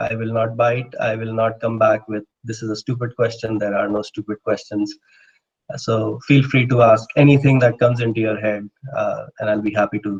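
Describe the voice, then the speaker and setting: Medium in pitch and somewhat breathy, a man's voice moves at a moderate pace. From India. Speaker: astrophysicist. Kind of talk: lecture. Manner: hesitant, many filler words.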